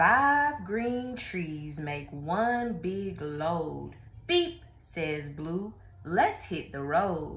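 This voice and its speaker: A woman talks at a very slow pace in a fairly low pitch. There is audible room echo. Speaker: storyteller. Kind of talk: children's read-aloud. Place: home room. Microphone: phone near.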